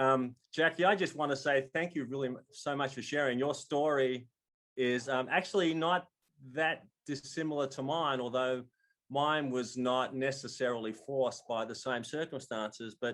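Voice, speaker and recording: With an Australian accent, a man speaks at a medium pitch and a moderate pace, his intonation fairly even. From Australia, Melbourne. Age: 60s. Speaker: storyteller. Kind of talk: storytelling.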